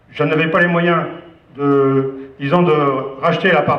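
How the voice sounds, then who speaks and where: Noticeable background noise and audible room echo surround a voice with fairly even intonation. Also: man. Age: 60s. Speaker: business owner. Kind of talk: speech to staff. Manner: hesitant, many fillers.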